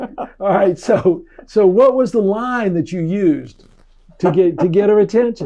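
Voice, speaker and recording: Dark and mellow in tone, the voice moves at a fairly slow pace with ordinary pitch variation. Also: man, high pitch for a man. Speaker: doctor. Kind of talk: interviewer questions.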